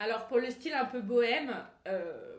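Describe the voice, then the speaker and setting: Fairly slow speech from a woman, ordinary in its pitch variation, with noticeable background noise and audible room echo. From Grasse, French Riviera. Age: 20s. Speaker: wedding planner. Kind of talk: casual interview.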